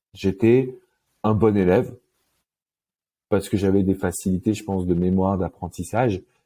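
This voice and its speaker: With long, frequent pauses, a man at a fairly low pitch speaks at a moderate pace in a fairly even intonation. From Paris suburbs, France. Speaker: love coach. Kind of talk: interview. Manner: casual, hesitant with many euh.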